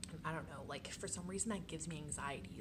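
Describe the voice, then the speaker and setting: Noticeable background noise surrounds a woman whispering at a fairly quick pace. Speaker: college art student. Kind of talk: casual vlog talk to camera. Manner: whispered.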